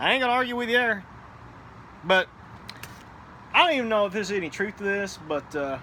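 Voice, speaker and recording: A man talks at a very fast pace in a raised, projected voice with high pitch and lively intonation. He leaves long, frequent pauses over noticeable background noise. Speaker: cigar and gaming vlogger, navy veteran. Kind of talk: casual chat. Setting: outdoors on apartment patio. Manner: loud.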